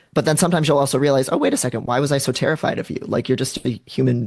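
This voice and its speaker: At medium pitch, a man talks with ordinary pitch variation. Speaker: social psychologist and author. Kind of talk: podcast interview.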